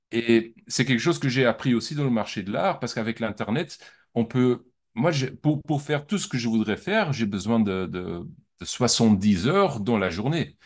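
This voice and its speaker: A man speaks at a medium pitch and a moderate pace. His pitch swings very widely over a quiet background. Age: 40s. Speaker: art dealer. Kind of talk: interview. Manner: halting, many repetitions.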